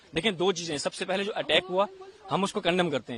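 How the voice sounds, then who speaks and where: Against noticeable background noise, a man speaks at a moderate pace with a high pitch. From India. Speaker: student interviewee leaving country. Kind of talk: street interview.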